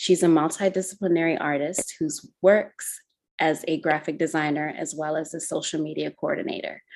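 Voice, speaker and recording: A woman's fairly low pitch in a monotone, flat intonation. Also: moderate pace. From Zimbabwe. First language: Shona. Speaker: podcast co-host. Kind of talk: casual interview.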